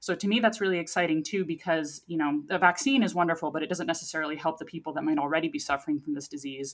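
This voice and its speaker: A woman with a fairly low pitch talks very fast with hardly any pauses and ordinary pitch variation. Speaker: scientist, news segment guest. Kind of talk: casual science news discussion.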